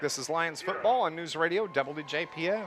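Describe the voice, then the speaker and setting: Noticeable background noise runs under a man's high-pitched voice. He speaks at a fairly slow pace. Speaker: play-by-play radio announcer. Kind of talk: live sports commentary.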